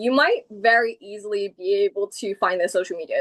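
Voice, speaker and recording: A woman speaks at a medium pitch with a British accent. The sound is dry and close, with no echo. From England. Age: 30s. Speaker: comic book creator. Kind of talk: casual interview chat.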